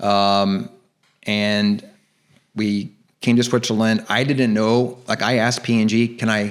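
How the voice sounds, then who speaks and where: With an American accent, a man speaks at a fairly slow pace and fairly low pitch, pausing long and often. His loudness stays very even, and the recording is very clean with a silent background. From US Midwest, Cincinnati, Ohio. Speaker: actor and director. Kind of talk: podcast interview. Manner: casual, animated storytelling.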